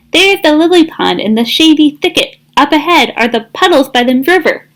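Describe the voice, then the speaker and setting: A woman puts on a squeaky character voice with a high pitch and a fairly quick pace. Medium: read story. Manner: cheerful, enthusiastic.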